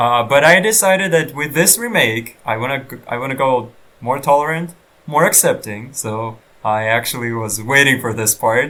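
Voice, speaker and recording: With a non-native accent, a man speaks at a medium pitch and a moderate pace, his intonation lively. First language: not English. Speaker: gaming let's player. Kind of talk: let's play commentary. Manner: halting.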